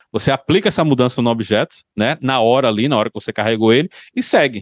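Very fast speech with ordinary pitch variation, dry and close with no echo, against a quiet background. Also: man. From João Pessoa, Paraíba, Brazil. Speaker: software engineer. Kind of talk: casual interview chat.

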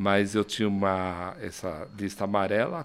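A man's fairly low-pitched voice comes through on a very clean recording with a silent background. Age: 50s. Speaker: agency founder and CEO. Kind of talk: casual interview. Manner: animated.

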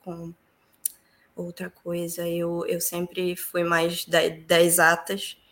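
A woman is talking. Her delivery is fairly slow. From Brazil, Pará (Santarém). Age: 20s. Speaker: civil engineer. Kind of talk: interview.

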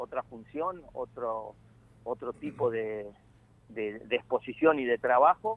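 A man's voice at a medium pitch. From Argentina, northern Santa Fe province (Malabrigo). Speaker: football coach. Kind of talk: interview. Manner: halting, many fillers.

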